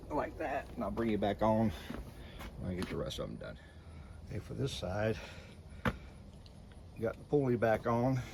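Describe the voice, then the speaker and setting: With an Appalachian accent, a man at medium pitch talks at a moderate pace with lively intonation and long, frequent pauses over noticeable background noise. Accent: Southern US (Appalachian). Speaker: DIY lawn mower maintenance YouTuber. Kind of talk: tutorial. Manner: soft-spoken; casual, halting.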